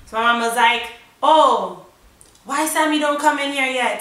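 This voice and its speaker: A woman speaks in a raised, projected voice with an animated tone and ordinary pitch variation, against noticeable background noise and audible room echo. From US, Jamaican family. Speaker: YouTuber. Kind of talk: storytime.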